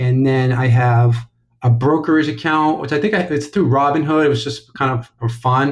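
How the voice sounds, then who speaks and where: Medium pitch from a somewhat breathy man, at a moderate pace with ordinary pitch variation and a quiet background. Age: 30s. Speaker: caller seeking money advice. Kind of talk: phone-in question.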